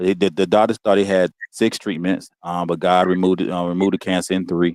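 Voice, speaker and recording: Very deep and low in pitch, a man with an American accent speaks fairly quickly in a flat monotone, recorded with a dry, close sound and no echo. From US. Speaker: guest, father. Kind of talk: casual chat.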